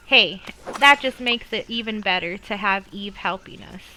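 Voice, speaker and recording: A woman's fairly high voice at a moderate pace, with noticeable background noise. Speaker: gaming youtuber. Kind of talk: gameplay commentary.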